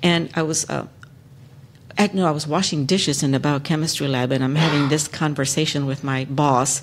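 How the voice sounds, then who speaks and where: Fairly quick speech in a Spanish accent. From Texas. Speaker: lawyer, panelist. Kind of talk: panel discussion, personal story. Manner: hesitant, many fillers.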